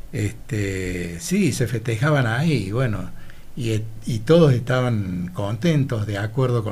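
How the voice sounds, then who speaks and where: Somewhat breathy and medium in pitch, a man speaks at a fairly slow pace with lively intonation, and audible room echo surrounds his voice. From Argentina, Laguna Larga, Córdoba. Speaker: retired teacher. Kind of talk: interview.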